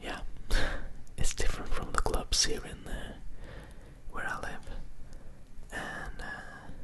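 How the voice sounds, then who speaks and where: Very slow, soothing whispering with long, frequent pauses over noticeable background noise. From Norway. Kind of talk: casual talk to camera, vlog. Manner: whispered, soothing.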